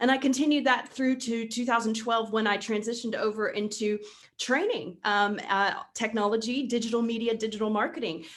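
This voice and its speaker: With an American accent, a woman speaks at a moderate pace in a fairly high pitch. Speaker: real estate digital marketing trainer. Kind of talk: webinar presentation. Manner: animated.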